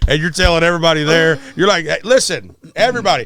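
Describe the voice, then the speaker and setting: This man has a bright, sharp tone, a high pitch and ordinary pitch variation, speaking in a Southern US accent. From Arkansas. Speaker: musician. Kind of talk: casual chat.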